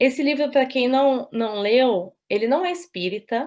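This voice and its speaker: A woman speaks with a Brazilian accent and lively intonation. The background is quiet. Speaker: spiritist lecturer. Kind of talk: lecture.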